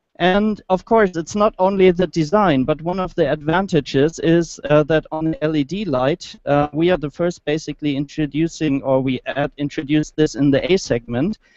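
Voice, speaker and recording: With a German accent, a man talks at a moderate pace in a fairly high pitch, hardly pausing. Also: ordinary pitch variation, dry, close sound with no echo. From Germany. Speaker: automotive engineer, project manager. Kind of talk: product presentation. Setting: motor show, live online hangout. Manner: halting, many fillers.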